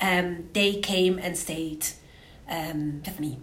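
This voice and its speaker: Ordinary pitch variation in a woman's speech, plus audible room echo. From Switzerland (Zurich). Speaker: victim's sister, activist. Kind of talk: testimony. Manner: halting.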